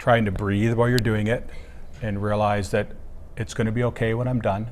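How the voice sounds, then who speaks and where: In a Canadian accent, a man talks at a fairly quick pace with a fairly low pitch and monotone, flat intonation. Audible room echo is present. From Ontario, Canada. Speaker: keynote speaker, former teacher. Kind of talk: interview. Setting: at a student leadership conference. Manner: fast.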